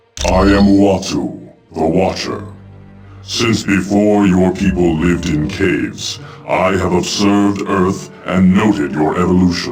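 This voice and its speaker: Over clear background music, a man uses a cartoonish character voice, very deep and low, at a fairly slow pace. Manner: solemn, formal.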